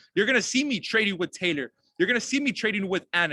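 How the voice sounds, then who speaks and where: Dry and close with no echo, a man's high-pitched, raised, projected voice carries a bright, sharp, energetic tone and lively intonation. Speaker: network marketing team leader. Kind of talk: online team training call.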